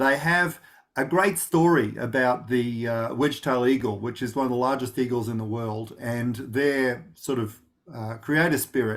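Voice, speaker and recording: A man at a medium pitch with an Australian accent, at a fairly slow pace, on a very clean recording with a silent background. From Australia, rural Victoria (Gippsland). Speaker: knowledge management practitioner. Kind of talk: interview. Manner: many fillers and restarts.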